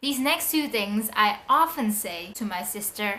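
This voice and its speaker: In a southern Chinese accent, a woman speaks at a moderate pace with a fairly high pitch and very wide pitch swings, amid audible room echo and noticeable background noise. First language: Hakka. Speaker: language vlogger. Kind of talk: casual tutorial.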